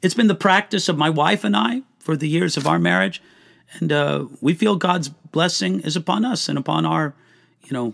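With vocal fry and a fairly high pitch, a man speaks at a moderate pace using very wide pitch swings. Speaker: pastor and Bible teacher. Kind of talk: live Q&A answering viewer questions. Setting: livestream. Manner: conversational with many fillers.

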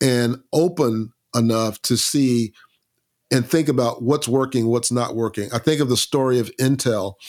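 A man with an American accent has a normal speaking voice and fairly even intonation. The recording is very clean, with a silent background. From US South, Lakeland, Florida. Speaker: bass player and author. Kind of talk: interview conversation.

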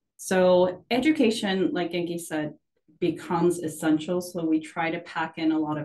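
A woman talks at a moderate pace in a fairly low voice with ordinary pitch variation. It is a plain, everyday voice. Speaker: sake company portfolio manager. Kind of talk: casual interview. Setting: video call.

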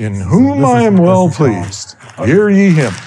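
A man does a put-on character voice at a fairly slow pace, his medium pitch swinging very widely. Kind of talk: archaic, formal. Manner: solemn, authoritative.

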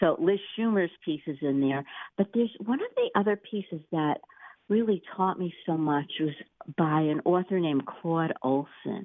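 This woman has an ordinary speaking voice, pitched fairly low. She keeps a moderate pace with ordinary pitch variation. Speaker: author and book editor. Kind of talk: radio interview about her book.

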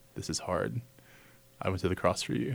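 At a moderate pace, a man with an American accent speaks in a very deep, low voice with vocal fry, in a very clean recording over a silent background. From Texas, near San Antonio. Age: 20s. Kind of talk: casual interview conversation.

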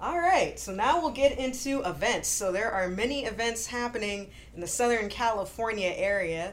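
A woman talks at a moderate pace with hardly any pauses, her pitch fairly high. She has an unremarkable speaking voice with lively intonation. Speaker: podcast host. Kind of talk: casual interview chat.

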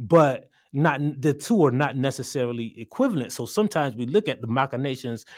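A man with a normal speaking voice and an American accent, medium pitch, fairly quick pace, very clean recording with a silent background. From South Carolina. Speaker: journalist and writer. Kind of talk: casual interview.

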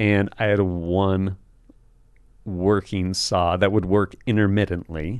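Intonation stays monotone and flat while the words come at a fairly slow pace. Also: man, very deep, low pitch for a man. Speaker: firearms instructor and military veteran. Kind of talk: casual chat.

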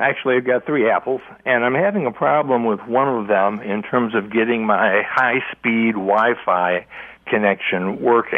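A man's plain, everyday voice with an American accent, medium in pitch, at a moderate pace and very even loudness. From Livonia, Michigan. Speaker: caller. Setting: phone call.

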